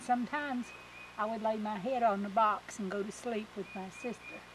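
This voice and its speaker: A woman talks in an Appalachian accent at a fairly high pitch. Her pace is moderate, with ordinary pitch variation. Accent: Appalachian Southern US. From US South, East Tennessee. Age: 60s. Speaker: grandmother recalling childhood. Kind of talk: casual reminiscing on a walk. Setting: outdoors, walking.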